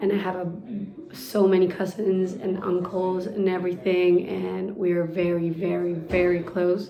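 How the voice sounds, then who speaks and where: Noticeable background noise and audible room echo surround a woman speaking at a moderate pace. Her medium-pitched delivery is monotone and flat. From Argentina, Buenos Aires. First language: Spanish. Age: 20s. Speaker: pastry chef. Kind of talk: interview.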